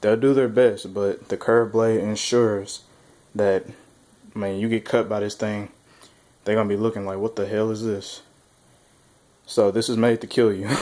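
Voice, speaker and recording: A man speaks in a fairly low, dark, mellow voice with monotone, flat intonation. Long pauses come often. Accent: Southern US. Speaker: weapons reviewer. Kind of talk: product demo. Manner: casual.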